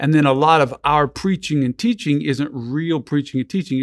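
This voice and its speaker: Fairly high in pitch, a man talks in a normal speaking voice at a moderate pace with ordinary pitch variation. The sound is dry and close with no echo, in a very clean recording with a silent background. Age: 50s. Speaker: ministry founder and evangelist. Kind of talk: casual interview.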